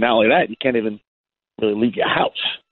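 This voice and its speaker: Medium pitch and ordinary pitch variation in a man's voice. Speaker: basketball skills trainer. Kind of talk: radio interview. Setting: phone call. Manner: halting.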